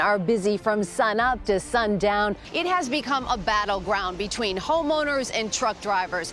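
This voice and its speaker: Over noticeable background noise, a woman speaks at a medium pitch and a moderate pace. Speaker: network news correspondent and anchor. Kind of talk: broadcast news reporting. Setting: news report on location and in interview.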